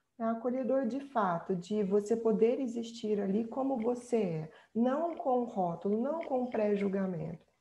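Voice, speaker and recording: This woman's voice sits fairly high and is somewhat breathy. She speaks fairly slowly, with lively intonation. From central Brazil. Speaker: researcher and speaker on migration. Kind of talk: workshop presentation, answering questions.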